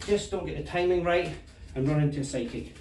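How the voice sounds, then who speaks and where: A man with a Scottish accent and a fairly high pitch for a man speaks at a fairly quick pace with ordinary pitch variation, and the room echo is audible. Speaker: martial arts instructor. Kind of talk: tutorial. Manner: casual.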